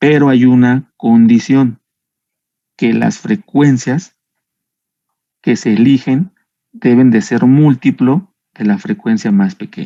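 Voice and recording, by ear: A man's medium-pitched voice, dark and mellow, at a slow pace with long, frequent pauses and ordinary pitch variation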